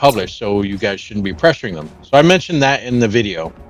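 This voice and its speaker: A man speaks fairly quickly at a medium pitch. Music plays behind him. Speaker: gaming youtuber. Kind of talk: gameplay commentary. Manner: halting, stuttering; casual.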